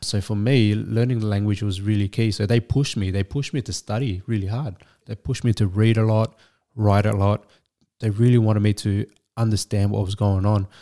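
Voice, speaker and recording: In an Australian accent, the voice has a dark, mellow tone and fairly even intonation at a fairly quick pace. The sound is dry and close with no echo, on a very clean recording with a silent background. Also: man, fairly low pitch for a man. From Vietnamese refugee family, raised in Australia. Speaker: business coach. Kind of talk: casual chat. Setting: host's home.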